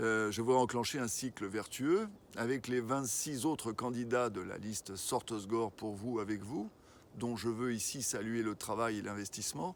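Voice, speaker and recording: A man with a normal speaking voice, medium pitch and ordinary pitch variation, at a fairly slow pace. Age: 60s. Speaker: local election candidate, retired executive. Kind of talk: interview. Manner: formal.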